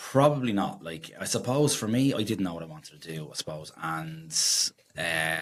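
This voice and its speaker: Very deep, low male speech at a moderate pace, with lively intonation and big swings in loudness. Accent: Dublin. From Dublin, Ireland (Drumcondra). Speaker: electrician. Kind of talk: casual interview. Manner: hesitant, many fillers.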